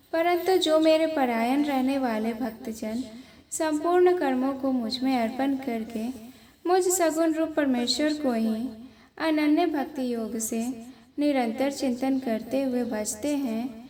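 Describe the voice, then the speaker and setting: A high-pitched woman with a dark, mellow tone and ordinary pitch variation, amid audible room echo. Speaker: scripture reader. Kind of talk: reading aloud.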